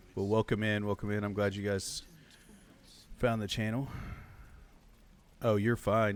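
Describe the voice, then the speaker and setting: With long, frequent pauses, a man speaks at a moderate pace in a fairly low, monotone voice with flat intonation, on a very clean recording with a silent background. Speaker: video game streamer. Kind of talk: live game stream commentary. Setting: live stream with chat.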